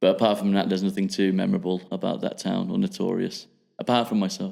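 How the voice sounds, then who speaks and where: A man with an English accent talks at a very fast pace. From England, Midlands (Rugby). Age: 20s. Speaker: podcast guest. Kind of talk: casual chat. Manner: mumbling; halting.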